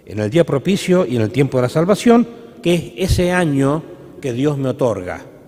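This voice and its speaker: Noticeable background noise runs under a man speaking at a moderate pace. His fairly high pitch swings very widely. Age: 60s. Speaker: priest. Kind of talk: sermon. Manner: halting.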